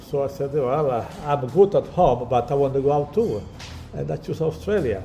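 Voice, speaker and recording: A man's fairly high voice with lively intonation at a moderate pace, plus background music and audible room echo. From Italy. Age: 70s. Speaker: restaurant owner. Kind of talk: interview. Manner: halting.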